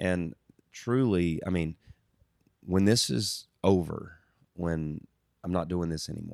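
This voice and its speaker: A man with a slight Southern US accent speaks at a very slow pace in a very deep, low voice. He uses ordinary pitch variation and takes long, frequent pauses. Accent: slight Southern twang. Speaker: country band musician. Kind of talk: casual chat.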